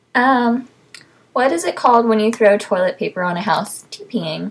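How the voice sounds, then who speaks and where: With a Texan accent, a woman speaks at a fairly slow pace in a fairly high, somewhat breathy voice with ordinary pitch variation. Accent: Texan American English. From South Texas. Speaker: vlogger. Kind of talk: casual vlog, reading word list. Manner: many fillers (um, uh). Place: home room. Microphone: webcam.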